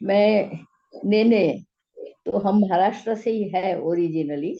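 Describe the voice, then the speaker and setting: A woman with a Gujarati accent and a medium pitch. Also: ordinary pitch variation. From Gujarat, Ahmedabad. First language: Gujarati (speaking Hindi). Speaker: physics teacher and science translator. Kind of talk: interview. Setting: video call.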